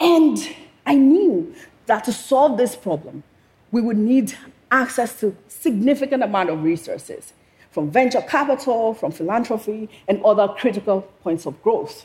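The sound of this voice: A woman with a slightly husky edge speaks at a fairly slow pace, with lively intonation and few pauses. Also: fairly high pitch for a woman.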